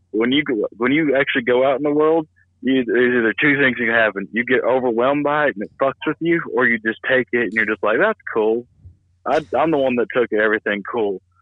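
Speaking fairly quickly, a man with a Southern US accent uses a medium pitch and ordinary pitch variation. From US South. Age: 30s. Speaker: comedian. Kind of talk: casual chat. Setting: phone call.

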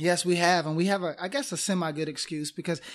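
A man speaks very fast in a high voice with fairly even intonation, on a very clean recording with a silent background. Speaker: podcast co-host. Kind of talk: casual chat. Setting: recording booth. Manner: quiet, lowered voice.

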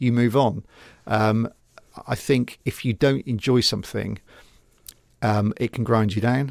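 In a West Country accent, a man speaks at a medium pitch and fairly slow pace, with fairly even intonation, long, frequent pauses, and a dry, close sound with no echo. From England, Gloucester. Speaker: TV news reporter. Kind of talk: casual interview. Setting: radio studio.

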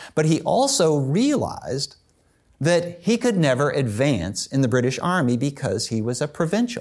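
A man's fairly high voice with very wide pitch swings and very even loudness. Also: moderate pace. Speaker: history professor and author. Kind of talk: interview.

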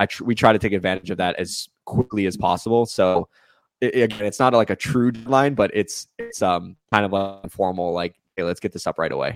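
In an American accent, a man speaks at a fairly quick pace in a normal speaking voice, fairly low in pitch with ordinary variation. The sound is dry and close with no echo, on a very clean recording with a silent background. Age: 30s. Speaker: sports reporter. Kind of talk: casual interview chat. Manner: fast, filler-heavy speech.

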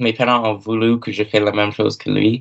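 A man speaks with an English accent. His intonation is monotone and flat. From Cape Breton, Nova Scotia (Myra). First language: English (speaking French). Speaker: university student. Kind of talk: casual interview. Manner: halting, many fillers.

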